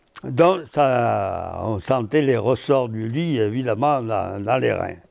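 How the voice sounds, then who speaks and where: A man speaks very slowly in a medium pitch, his pitch varying in an ordinary way. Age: 90s. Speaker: former French Resistance fighter. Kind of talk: testimony talk to schoolchildren.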